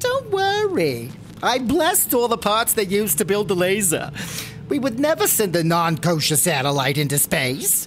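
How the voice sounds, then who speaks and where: At a moderate pace, a woman speaks at a medium pitch with very even loudness over clear background noise. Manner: warm, pushy, breezy.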